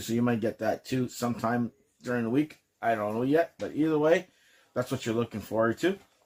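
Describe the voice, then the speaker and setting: The man talks at a very fast pace in a medium-pitched voice. The recording is very clean, with a silent background. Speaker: podcast host. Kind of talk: casual podcast review. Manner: casual, hesitant with fillers.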